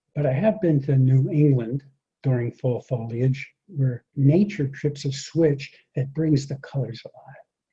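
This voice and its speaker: Against a quiet background, a man talks at a fairly slow pace and a fairly high pitch. His tone is dark and mellow, and somewhat breathy. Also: ordinary pitch variation. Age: 70s. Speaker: speaker and public speaking coach; speaker, public speaking coach. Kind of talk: talk to an audience.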